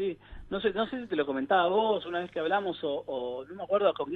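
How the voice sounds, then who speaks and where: A man with a high voice rattles along very fast, his pitch varying in an ordinary way. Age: 40s. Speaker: psychologist and family therapist. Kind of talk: radio interview.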